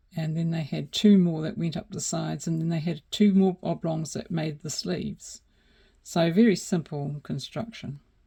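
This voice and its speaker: A soft-spoken woman with a fairly low pitch, a dark, mellow tone and a somewhat breathy voice, at a moderate pace with ordinary pitch variation, on a very clean recording with a silent background. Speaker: miniaturist. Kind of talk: tutorial. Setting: home studio. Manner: casual.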